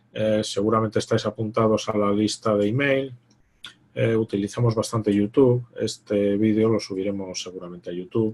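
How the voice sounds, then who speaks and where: A man speaks in a plain, everyday voice with a fairly low pitch. His pace is moderate and his intonation fairly even. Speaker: investment fund manager. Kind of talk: online presentation Q&A.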